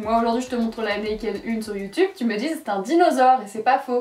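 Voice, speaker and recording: Over noticeable background noise, a woman speaks at a fairly quick pace with a fairly high pitch. Her tone is animated and her intonation lively. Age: 20s. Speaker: YouTuber reacting to her old videos. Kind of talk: casual reaction commentary.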